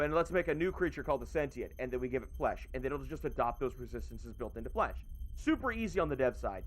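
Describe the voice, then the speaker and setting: A man talking very fast over music in the background. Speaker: VTuber streamer. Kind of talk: casual livestream chat. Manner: loud; animated.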